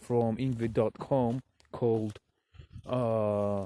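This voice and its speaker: A man speaks very slowly in a Russian accent, his voice dark and mellow at a medium pitch. The intonation stays fairly even, and the sound is dry and close with no echo. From Russian-speaking country, never abroad. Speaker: vlogger. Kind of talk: outdoor vlog talk to camera. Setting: outdoors in a forest. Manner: halting.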